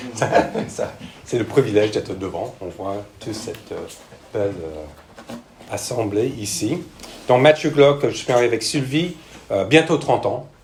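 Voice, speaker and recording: A man talks at a fairly slow pace with lively intonation, his loudness swinging widely and his speech marked by long, frequent pauses. Audible room echo and noticeable background noise surround him. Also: medium pitch for a man. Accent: American. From United States. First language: English (speaking French). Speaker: missionary pastor, church planter. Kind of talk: sermon. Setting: church with congregation. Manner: hesitant, frequent fillers.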